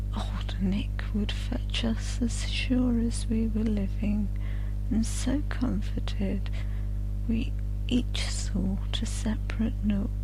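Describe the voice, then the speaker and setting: Soft-spoken at a very slow pace, the voice is heard over music in the background. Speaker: audiobook narrator. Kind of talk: sleep story.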